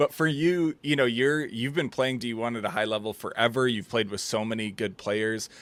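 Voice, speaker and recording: With an American accent, a man speaks at a medium pitch and a moderate pace with hardly any pauses. His pitch varies in an ordinary way, and the recording is very clean with a silent background. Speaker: podcast host. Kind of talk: interview.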